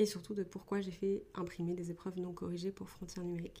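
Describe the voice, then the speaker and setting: Somewhat breathy, a woman speaks at a fairly low pitch in a dark, mellow tone. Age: 20s. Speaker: podcast host, author and script doctor. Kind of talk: casual solo podcast talk. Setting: at home, wrapped in a blanket.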